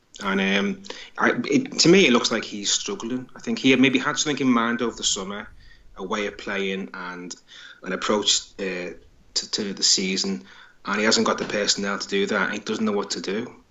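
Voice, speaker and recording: Speaking at a moderate pace in a plain, everyday voice, the man has a fairly low pitch and ordinary pitch variation. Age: 40s. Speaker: football author. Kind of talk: casual interview.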